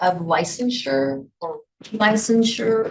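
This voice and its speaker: Somewhat breathy speech comes from a woman. She is the one talking. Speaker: conference presenter on adult education. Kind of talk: workshop presentation. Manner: hesitant, many fillers.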